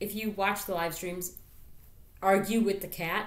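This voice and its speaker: Audible room echo on a woman's voice at a medium pitch and a moderate pace. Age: 30s. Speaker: YouTuber and streamer. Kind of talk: casual vlog. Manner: distracted, interrupting self.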